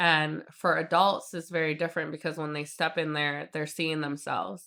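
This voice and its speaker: In a very clean recording with a silent background, a woman with a very deep, low pitch and a bright, sharp tone speaks at a moderate pace with ordinary pitch variation. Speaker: PR agency owner and community advocate. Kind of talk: podcast interview. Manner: loud; casual, filler-heavy.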